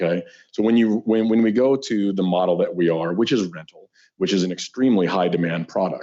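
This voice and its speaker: Using a normal speaking voice, the speaker moves at a fairly quick pace with ordinary pitch variation. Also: man. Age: 60s. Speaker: property developer. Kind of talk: presentation to city council.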